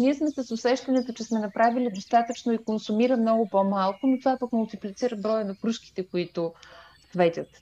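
A woman's fairly high, dark and mellow voice at a fairly quick pace with ordinary pitch variation. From Bulgaria, Stara Zagora. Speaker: podcast host. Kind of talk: casual interview.

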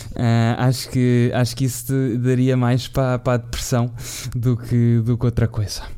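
Speaking in a European Portuguese accent, a man at a medium pitch holds a monotone, flat intonation with a dark, mellow tone. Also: moderate pace, very even loudness. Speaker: football podcast host. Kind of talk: casual chat.

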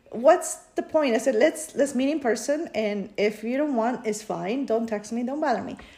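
A woman with a Spanish accent and a high pitch talks at a moderate pace with hardly any pauses and lively intonation, over noticeable background noise. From Peru. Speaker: podcast co-host. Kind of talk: casual chat.

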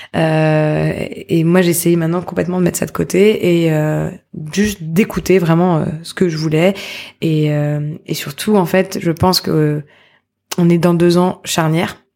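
Her pitch is fairly low and her pace fairly slow. The woman's intonation stays monotone and flat. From Paris. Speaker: social entrepreneur. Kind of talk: interview conversation.

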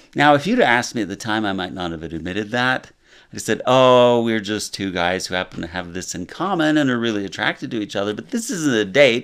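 This man has an ordinary speaking voice, medium in pitch and lively in intonation. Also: fairly quick pace. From Utah, Salt Lake City. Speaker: property manager and marriage and family therapist. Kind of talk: interview.

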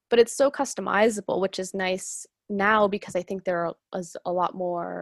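A plain, everyday voice with an American accent speaks at a moderate pace, the sound dry and close with no echo over a quiet background. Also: woman. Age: 20s. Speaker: podcast host. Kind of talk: casual chat.

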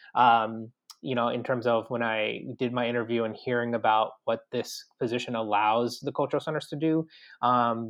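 Man's medium-pitched voice at a moderate pace, with monotone, flat intonation. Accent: American. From Long Island, New York. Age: 30s. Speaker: university assistant director. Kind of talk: interview.

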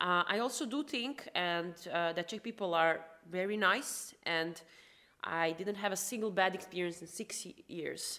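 In a Croatian accent, the voice has a bright, sharp tone and moves at a fairly slow pace. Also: woman, medium pitch for a woman, ordinary pitch variation. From Croatia, Rijeka. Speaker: founder of an integration company. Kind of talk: podcast interview.

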